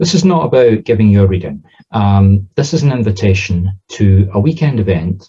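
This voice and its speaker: A man speaks at a moderate pace in a fairly low, somewhat breathy voice with a dark, mellow tone. His intonation is lively, while his loudness stays very even. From southern Scotland. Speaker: spiritual medium. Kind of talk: interview answer; promotional video with comic demonstration. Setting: outdoors in front of Highland cattle.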